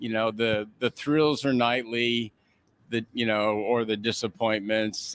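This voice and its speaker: The sound is dry and close with no echo as a man speaks at a medium pitch on a very clean recording with a silent background. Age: 60s. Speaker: sports team owner. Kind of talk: radio interview. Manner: halting, many fillers.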